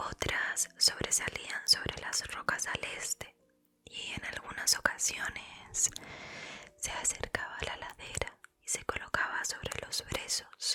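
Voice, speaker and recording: A woman whispering at a very slow pace. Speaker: ASMR creator. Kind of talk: whispered book reading. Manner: whispered.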